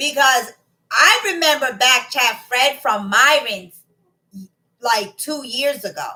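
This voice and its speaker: A woman with a Boston accent speaks at a fairly slow pace in a high, raised and projected voice. Her pitch swings very widely. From Boston area, Massachusetts. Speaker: live streamer. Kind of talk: casual live-stream chat reading comments. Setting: live stream.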